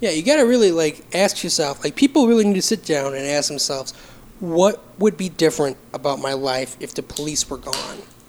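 Lively intonation and a fairly quick pace mark this speech, heard over noticeable background noise. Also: man, fairly high pitch for a man. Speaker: podcast co-host. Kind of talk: casual chat. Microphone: poor mic picking up breath and pops.

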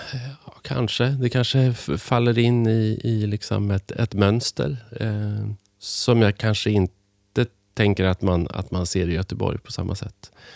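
In a very clean recording with a silent background, a man speaks fairly slowly at a fairly low pitch with ordinary pitch variation, the sound dry and close with no echo. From Sweden, Hälsingland. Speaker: journalist and author. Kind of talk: interview conversation. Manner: halting, many restarts and fillers.

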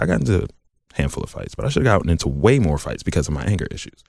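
Very fast and very deep, a man with an American accent speaks with vocal fry and very wide pitch swings. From Southfield, Michigan (Detroit area), US. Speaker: podcast guest. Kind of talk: casual chat.

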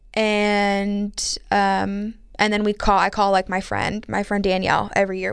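A woman speaks at a medium pitch in a flat, monotone delivery. The recording is very clean, with a silent background. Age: 20s. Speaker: podcast co-host. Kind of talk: casual chat. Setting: studio.

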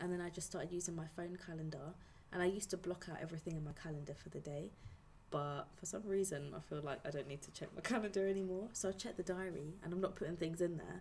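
Talking at a very fast pace, this woman has a fairly low, somewhat breathy voice and fairly even intonation. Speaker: dancer and director. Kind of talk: casual chat.

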